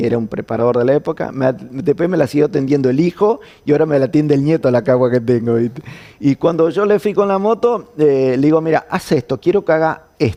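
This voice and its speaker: A man with an Argentine accent talks at a very fast pace in a fairly high voice. His tone is dark and mellow, and his intonation is lively. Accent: Argentine Spanish (voseo). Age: 60s. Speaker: former motorcycle racer. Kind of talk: interview conversation. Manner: halting, repeats words.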